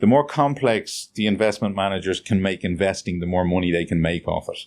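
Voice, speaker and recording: At a moderate pace, a man with a Dublin accent speaks on a very clean recording with a silent background. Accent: Dublin Irish. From Dublin, Ireland. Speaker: financial planner. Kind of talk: interview answer.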